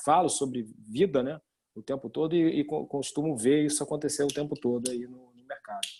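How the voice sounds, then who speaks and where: Fairly high in pitch with a dark, mellow tone, a man speaks at a fairly quick pace. His loudness swings widely while his pitch varies in the usual way. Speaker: financial advisor. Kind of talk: webinar discussion.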